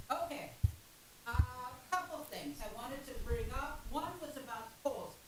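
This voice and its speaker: Audible room echo surrounds a woman's voice. She keeps a moderate pace with lively intonation. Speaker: public commenter at city council. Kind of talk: public comment. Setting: city council meeting, away from podium. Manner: loud. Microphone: far from the microphone.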